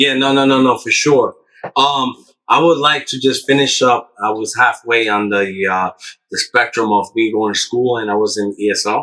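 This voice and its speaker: With a bright, sharp tone, a man speaks at medium pitch and a moderate pace, his pitch varying in an ordinary way. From Long Island, New York, Dominican American. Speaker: business owner. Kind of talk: casual chat.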